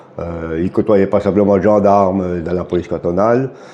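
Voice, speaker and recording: Fairly low in pitch and fairly even in intonation, a man keeps a moderate pace over noticeable background noise. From Switzerland, Jura. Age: 60s. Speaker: retired border guard. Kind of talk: interview.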